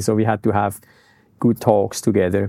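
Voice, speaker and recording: Speaking at a very fast pace, a man with a dark, mellow tone comes through on a very clean recording with a silent background. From Switzerland. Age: 50s. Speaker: skydiving business owner. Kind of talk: interview.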